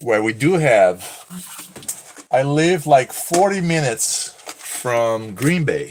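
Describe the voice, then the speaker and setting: With a slight Brazilian accent, a man speaks very slowly in a fairly high voice with lively intonation. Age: 30s. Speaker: streamer, cosplayer and online seller. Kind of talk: live stream casual chat.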